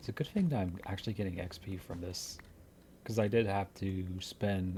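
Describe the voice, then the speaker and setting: A man whispers in a somewhat breathy voice. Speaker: gaming youtuber. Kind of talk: gameplay commentary. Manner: whispering.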